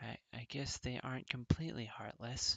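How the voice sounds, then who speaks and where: Using a put-on character voice, a man mumbles at a moderate pace and medium pitch. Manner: mumbling, hesitant.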